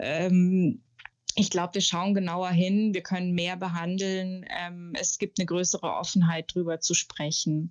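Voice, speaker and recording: Very slow in pace, a woman speaks at medium pitch with fairly even intonation. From Germany, Munich. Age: 40s. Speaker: journalist and author. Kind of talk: interview.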